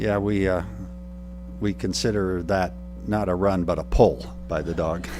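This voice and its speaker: With lively intonation, a man speaks in a very deep, low voice at a moderate pace. Long, frequent pauses break his speech, and room echo is audible. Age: 60s. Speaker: retiring college president. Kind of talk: city council meeting remarks.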